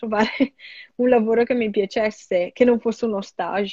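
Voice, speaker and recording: A woman talks at a moderate pace in a fairly high pitch. She has an ordinary speaking voice. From Italy. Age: 20s. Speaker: product designer. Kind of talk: interview.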